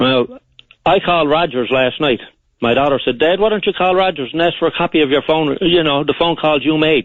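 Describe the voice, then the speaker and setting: Speaking with a Newfoundland accent, the voice moves at a fairly quick pace with ordinary pitch variation and very even loudness. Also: man, fairly high pitch for a man. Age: 60s. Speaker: caller. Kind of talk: radio call-in. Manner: halting, repetitive.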